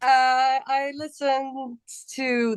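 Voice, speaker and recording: This is a woman speaking with a Polish accent. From Poland. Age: young. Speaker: metal band vocalist. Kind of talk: casual interview.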